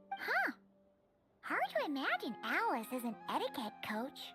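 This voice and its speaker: A female-sounding put-on character voice, pitched high, moves at a moderate pace while faint music plays in the background. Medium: game stream. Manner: blunt, wry.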